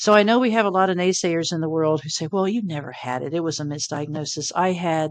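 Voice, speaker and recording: In a plain, everyday voice, a woman talks at a fairly low pitch with ordinary pitch variation. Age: 60s. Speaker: near-death experiencer. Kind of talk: podcast interview.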